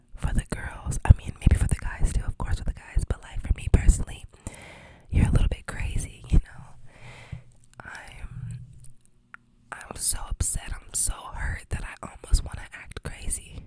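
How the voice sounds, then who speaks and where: A woman whispers with big swings in loudness and long, frequent pauses over noticeable background noise. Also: moderate pace. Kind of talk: ASMR storytime ramble.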